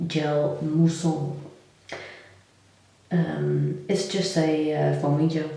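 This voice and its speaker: A soft-spoken woman talks with a very deep, low pitch. Noticeable background noise and audible room echo surround her voice. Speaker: lifestyle vlogger. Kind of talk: casual vlog talk.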